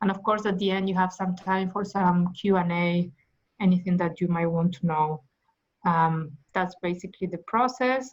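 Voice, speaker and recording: At a moderate pace, a woman of medium pitch speaks with fairly even intonation and a somewhat breathy sound. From Argentina. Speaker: management consultant. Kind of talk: interview. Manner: halting.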